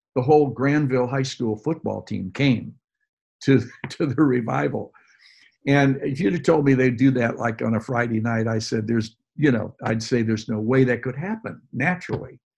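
In a normal speaking voice, a man of medium pitch talks at a moderate pace with ordinary pitch variation. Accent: American. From US Midwest, Detroit. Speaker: pastor. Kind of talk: interview about faith and ministry.

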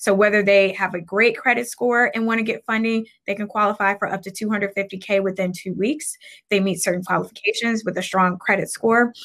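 A woman with an American accent and an unremarkable speaking voice talks at a fairly quick pace, with medium pitch and fairly even intonation. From US Midwest, Cleveland, Ohio. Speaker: entrepreneur, business credit consultant. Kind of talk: interview.

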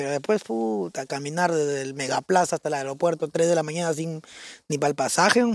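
An ordinary speaking voice moves at a fairly quick pace with ordinary pitch variation in a dry, close sound with no echo. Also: man, fairly high pitch for a man. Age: 30s. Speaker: robot costume performer. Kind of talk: casual chat.

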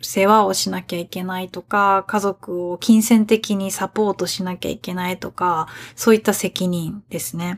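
On a very clean recording with a silent background, a woman with an unremarkable speaking voice talks at a medium pitch with ordinary pitch variation. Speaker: podcast host, Japanese teacher. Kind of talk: language-learner podcast monologue. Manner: clear, learner-friendly pace.

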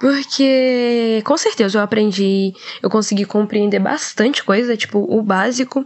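Speech unfolds at a very slow rate. The pitch moves up and down in a normal way. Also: woman. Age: young. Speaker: co-host, veterinary student. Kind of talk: casual chat.

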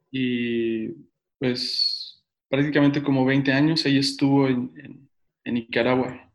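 A man with a central Mexican accent speaks very slowly at a medium pitch, his intonation monotone and flat, with long, frequent pauses. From Mexico City and Tehuacán, Puebla, Mexico. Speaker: pastor. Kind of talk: casual interview.

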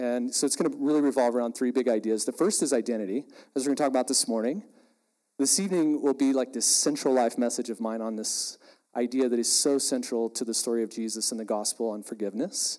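At a very fast pace, a man with a West Texas accent speaks at medium pitch with ordinary pitch variation. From West Texas (Andrews). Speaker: ministry leader and speaker. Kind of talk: sermon. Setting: stage with audience. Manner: animated.

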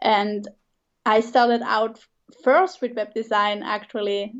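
A woman with a Swiss German accent speaks at a fairly slow pace and a fairly high pitch, with ordinary pitch variation. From Switzerland. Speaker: branding designer and coach. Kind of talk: casual interview.

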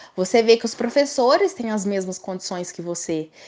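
With lively intonation, a woman has an unremarkable speaking voice set at a fairly high pitch. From Brazil, Minas Gerais (Três Corações). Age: 20s. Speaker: law student. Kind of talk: casual interview.

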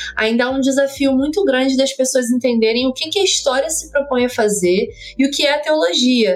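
A woman talks with ordinary pitch variation while noticeable background noise can be heard. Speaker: podcast co-host. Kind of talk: interview.

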